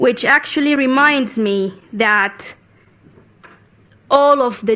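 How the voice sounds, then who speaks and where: A woman speaks with a Sudanese accent. Her tone is bright and sharp, with ordinary pitch variation. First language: Arabic. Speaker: youth climate activist. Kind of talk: conference speech. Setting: international conference stage. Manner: formal.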